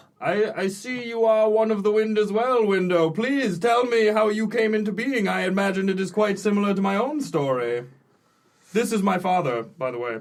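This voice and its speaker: In a put-on character voice, a man uses a high pitch and a pompous, robotic tone at a moderate pace. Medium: actual play. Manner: pompous, grandiloquent.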